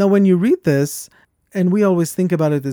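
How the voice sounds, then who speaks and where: With a non-native accent, a man talks at a very fast pace in a high pitch with ordinary pitch variation, his dark, mellow tone captured in a dry, close recording with no echo. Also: very clean recording, silent background. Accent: foreign-accented English. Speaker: podcast host. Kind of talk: casual conversation.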